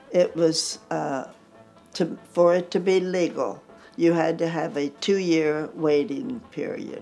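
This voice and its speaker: The speech moves at a very slow pace with faint music in the background. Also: woman, fairly low pitch for a woman, ordinary pitch variation. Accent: American. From United States. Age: 80s+. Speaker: country singer. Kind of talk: interview answer. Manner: lively. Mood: lively, amused storytelling. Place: home room. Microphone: lapel.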